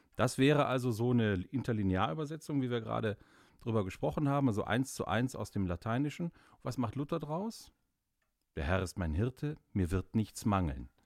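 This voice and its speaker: Pitch swings very widely while the pace stays moderate. The audio is very clean, with silence behind it. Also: man, medium pitch for a man. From Austria, Carinthia (Gailtal). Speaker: Luther expert. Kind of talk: casual expert conversation. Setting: studio.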